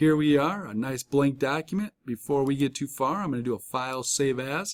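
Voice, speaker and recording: A man's medium-pitched voice at a fairly quick pace, on a very clean recording with a silent background. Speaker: college instructor. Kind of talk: tutorial.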